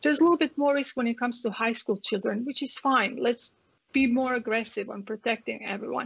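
Her Croatian accent comes through as this woman speaks at a fairly high pitch with ordinary pitch variation. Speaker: family physician. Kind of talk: interview.

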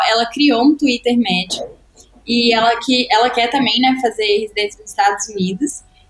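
With noticeable background noise, a woman speaks at a moderate pace in a high pitch with ordinary pitch variation. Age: 20s. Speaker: medical student. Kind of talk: casual chat.

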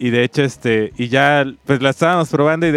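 A man with a Mexican accent speaks with ordinary pitch variation. The sound is dry and close with no echo, with music in the background. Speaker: podcast co-host. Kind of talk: casual chat.

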